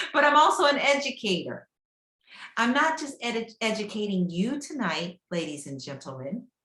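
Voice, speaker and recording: A woman's fairly high, bright, sharp voice with vocal fry, very wide pitch swings and big swings in loudness. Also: moderate pace. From Kentucky (Prospect, near Louisville). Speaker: real estate agent. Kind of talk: guest lecture to a class.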